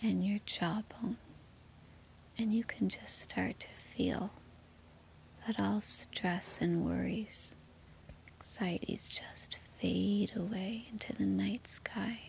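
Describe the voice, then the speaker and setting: Whispering at a very slow pace, the voice has a calm, soothing tone and long, frequent pauses. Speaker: meditation guide. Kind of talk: guided sleep meditation. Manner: slow, soothing and gentle; soft-spoken, calm, with long pauses.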